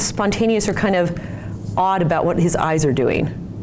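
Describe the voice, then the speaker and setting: Someone with an American accent talks at a fairly quick pace. Audible room echo and noticeable background noise are present. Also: woman. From Utah. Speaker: physical therapist. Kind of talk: lecture.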